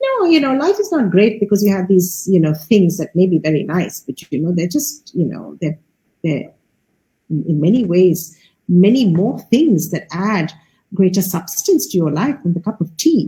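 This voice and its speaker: Her voice is somewhat breathy, with a dark, mellow tone at a medium pitch. The woman speaks at a moderate pace with lively intonation. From India. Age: 60s. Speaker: artist and curator. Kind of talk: interview.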